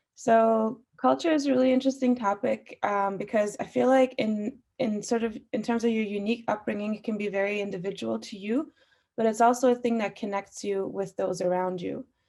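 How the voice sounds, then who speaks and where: Speaking at a fairly quick pace, a woman has a fairly high pitch, ordinary pitch variation and a dark, mellow tone. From Austria (Vienna), Iranian family, moved to Canada. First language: Farsi. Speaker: musician. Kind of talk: panel discussion. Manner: frequent fillers.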